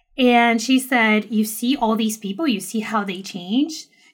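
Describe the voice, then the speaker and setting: The voice is somewhat breathy, with a Portuguese accent. It moves at a moderate pace with ordinary pitch variation. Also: woman. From Brazil, moved to New York at 10. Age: 30s. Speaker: self-love advocate and podcaster. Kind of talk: casual interview chat.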